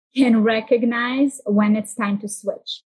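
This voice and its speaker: Somewhat breathy and fairly high, a woman's voice moves at a fairly slow pace with fairly even intonation. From Israel. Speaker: entrepreneur and content creator. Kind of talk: casual interview. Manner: rambling.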